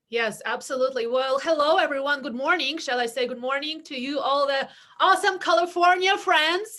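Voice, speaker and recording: A woman with a high pitch and a bright, sharp tone speaks in a raised, projected voice at a moderate pace, with lively intonation and hardly any pauses. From outside the US (immigrant). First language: not English. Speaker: real estate team leader. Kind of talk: webinar interview.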